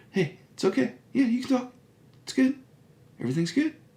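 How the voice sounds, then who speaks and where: A put-on character voice, fairly high in pitch, at a fairly quick pace. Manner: calm, soothing, reassuring.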